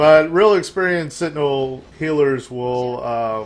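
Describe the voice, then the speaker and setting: Ordinary pitch variation marks this man's voice. He speaks at a fairly slow pace. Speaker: gaming YouTuber. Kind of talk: gameplay commentary. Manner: low energy.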